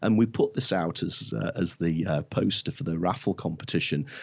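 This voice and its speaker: Speaking with a Lancashire accent, a man talks at a fairly quick pace with lively intonation. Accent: northern English (Lancashire). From northwest England (Blackpool). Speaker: marketing consultant. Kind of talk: interview. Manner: halting.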